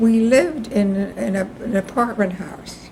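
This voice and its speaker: Against noticeable background noise, a woman with a medium pitch speaks with fairly even intonation. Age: 90s. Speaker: interviewee, family elder. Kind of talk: oral history interview. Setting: at home, videotaped. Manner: halting.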